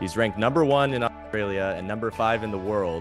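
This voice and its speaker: Music plays in the background behind a man's fairly low voice. He talks at a fairly quick pace. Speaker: podcast host. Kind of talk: podcast interview host.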